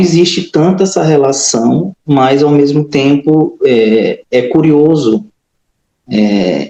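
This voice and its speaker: In a dark, mellow tone, a man speaks very slowly at a fairly high pitch with ordinary pitch variation. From Maranhão, Brazil. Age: 30s. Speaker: accountant, writer and musician. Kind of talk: interview. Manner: hesitant, many fillers.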